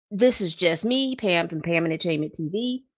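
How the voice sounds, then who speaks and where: Against a quiet background, a woman with an unremarkable speaking voice talks at a medium pitch and fairly slow pace, her intonation lively. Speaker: celebrity news commentator. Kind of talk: casual vlog commentary.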